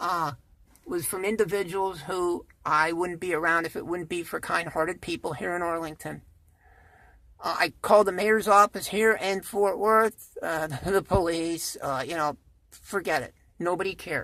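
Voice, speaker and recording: A woman has a plain, everyday voice at a fairly low pitch with ordinary pitch variation, speaking at a moderate pace. The recording is very clean, with a silent background. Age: 60s. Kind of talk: casual talk to camera.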